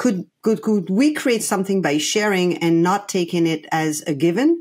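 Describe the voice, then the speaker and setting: On a very clean recording with a silent background, a woman with a French accent speaks at a fairly slow pace and medium pitch. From France. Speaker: play coach and consultant. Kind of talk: podcast interview. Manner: halting, many fillers and restarts.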